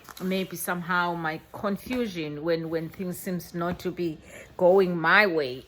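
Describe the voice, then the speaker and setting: Her South African accent comes through as a woman speaks at a fairly low pitch. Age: 50s. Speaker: vlogger. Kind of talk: reflective monologue. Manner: halting, with many repetitions.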